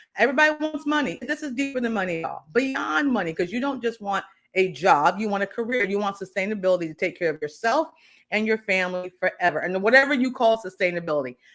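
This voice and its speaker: Loud and animated, a woman speaks at a very fast pace. Her medium-pitched voice swings very widely in pitch. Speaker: career coach. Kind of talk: live stream talk.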